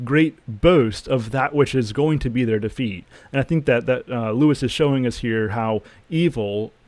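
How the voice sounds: The speaker has a natural reading voice. Pitch variation is ordinary.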